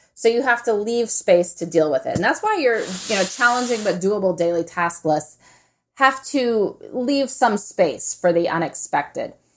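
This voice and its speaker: A woman talks in an ordinary speaking voice at a fairly high pitch. She keeps a moderate pace with lively intonation. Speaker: author and podcaster. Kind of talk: casual interview conversation.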